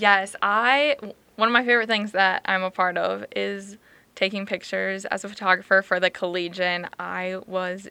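Recorded very cleanly against a silent background, a woman with an American accent speaks at a medium pitch with a bright, sharp tone and fairly even intonation. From Minnesota. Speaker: college student. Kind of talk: casual interview.

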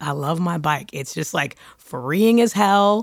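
Using vocal fry, a woman with an American accent talks in a bright, sharp tone with lively intonation on a very clean recording with a silent background. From Brooklyn, New York. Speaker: podcast co-host, musician. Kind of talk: casual chat.

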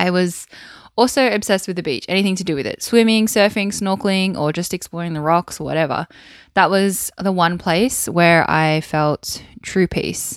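A woman with an Australian accent is heard on a very clean recording against a silent background. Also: medium pitch for a woman, ordinary pitch variation, moderate pace. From Wollongong, New South Wales, Australia. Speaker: podcast host, former army soldier. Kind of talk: solo podcast monologue. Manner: warm, conversational, with fillers.

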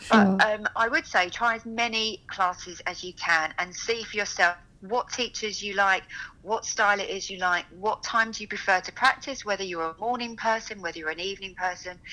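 At a fairly quick pace, a woman talks in a normal speaking voice of medium pitch, with ordinary pitch variation and big swings in loudness. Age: 40s. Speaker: yoga teacher. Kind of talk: interview.

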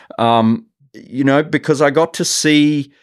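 Heard in a very clean recording with a silent background, a man speaks with an Australian accent. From Australia, Sydney. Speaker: professor and art curator. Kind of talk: interview. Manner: halting, many fillers.

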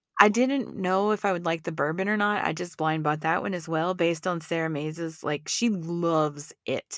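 Fairly low in pitch, a woman speaks with ordinary pitch variation and hardly any pauses. She has a plain, everyday voice. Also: moderate pace. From Texas. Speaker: podcast co-host. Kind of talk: casual chat.

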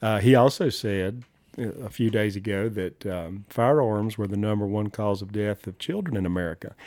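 This man speaks with a Southern US accent at a moderate pace. His pitch is fairly low, with ordinary pitch variation. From US South, southern Appalachians. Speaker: gun rights advocate, former wildlife biologist. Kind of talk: casual interview chat.

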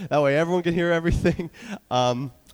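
A man speaks with an American accent. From New York. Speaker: youth pastor preaching. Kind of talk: sermon. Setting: church.

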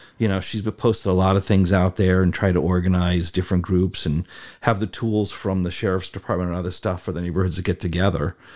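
In a very clean recording with a silent background, a speaker with an American accent talks at a very fast pace in monotone, flat intonation. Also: man, very deep, low pitch for a man. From Connecticut, US Northeast. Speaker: community advocate. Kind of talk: casual chat. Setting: studio.

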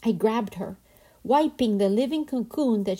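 Somewhat breathy speech at a moderate pace, with ordinary pitch variation, comes through a very clean recording with a silent background. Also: woman. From Colombia. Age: 50s. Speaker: podcast host. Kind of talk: reflective storytelling narration.

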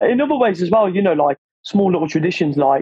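This man is talking. His pace is very fast. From Corfu, Greece (born in England, moved at six). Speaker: professional Thai boxer. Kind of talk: interview.

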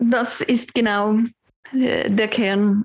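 A woman speaks. The sound is dry and close, with no echo. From Switzerland, Basel area. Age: 50s. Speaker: psychologist. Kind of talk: casual chat. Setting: at home on sofa.

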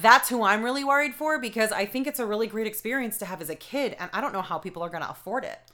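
A woman speaks very fast with a bright, sharp tone and a fairly high pitch. Her intonation is lively, with an American accent. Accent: Boston accent, stronger when angry. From New England, Boston area. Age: 30s. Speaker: podcast co-host. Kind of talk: casual chat.

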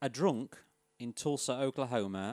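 A man's medium-pitched voice in an English accent, at a fairly slow pace, dry and close with no echo, on a very clean recording with a silent background. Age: 30s. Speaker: podcast host. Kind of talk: reading aloud. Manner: laughing.

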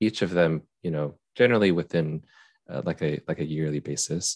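A man with a Utah accent and ordinary pitch variation, in a dry, close sound with no echo against a quiet background. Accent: American (Utah). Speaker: YouTuber and software tester. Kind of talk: casual chat.

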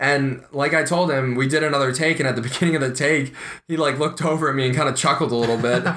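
Very fast and fairly high-pitched, a man with an American accent keeps fairly even intonation and very even loudness, with audible room echo and noticeable background noise. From US Midwest, Ohio. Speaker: podcast co-host, aspiring actor. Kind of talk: casual chat.

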